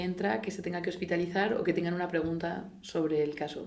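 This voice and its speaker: A woman speaks at a moderate pace in a fairly low voice. Room echo is audible. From Spain. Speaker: orthopaedic surgeon. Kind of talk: interview. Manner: halting, many false starts.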